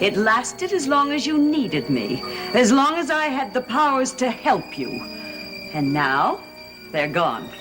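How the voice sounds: A woman uses a put-on character voice, speaking slowly with long, frequent pauses. Her fairly high, fairly bright voice swings widely in pitch over faint music in the background.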